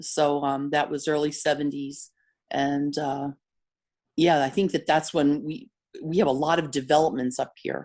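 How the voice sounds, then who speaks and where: With a northeastern Pennsylvania accent, a woman speaks at a moderate pace in a very deep, low pitch and fairly even intonation. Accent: northeastern Pennsylvania American. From northeastern Pennsylvania, Mountaintop. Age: 60s. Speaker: interviewee, local resident. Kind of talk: interview.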